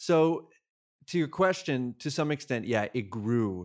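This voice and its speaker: In a very clean recording with a silent background, a man with an American accent uses an ordinary speaking voice at a fairly slow pace, with ordinary pitch variation. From Massachusetts. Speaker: podcast host and producer. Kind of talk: interview.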